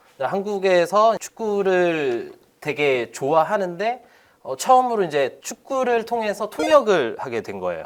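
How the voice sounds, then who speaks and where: This man has a high voice. His pitch swings very widely. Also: fairly slow pace, big swings in loudness. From Spain (Korean-born, moved at age 3). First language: Spanish (speaking Korean). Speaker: football league representative. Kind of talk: interview. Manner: polite, formal.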